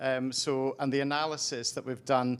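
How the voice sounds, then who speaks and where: Speaking in a Scottish Highland accent, a man of medium pitch keeps a monotone, flat intonation. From Scottish Highlands. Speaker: delivery logistics analyst. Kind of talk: panel discussion.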